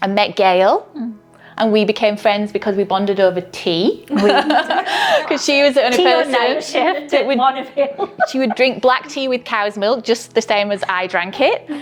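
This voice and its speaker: A woman speaks with a Yorkshire accent at a fairly high pitch and with lively intonation. Noticeable background noise sits behind her. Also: moderate pace. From northern England, Yorkshire. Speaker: midwife. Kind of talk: interview.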